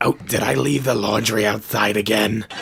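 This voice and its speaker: A man's raspy, fairly low put-on character voice at a moderate pace. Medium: audio drama. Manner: warm, reassuring.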